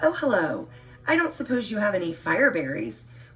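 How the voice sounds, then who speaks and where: A man's raspy, put-on character voice, high in pitch with very wide pitch swings, at a fairly quick pace over clear background noise. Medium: read story. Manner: earnest, old-fashioned politeness.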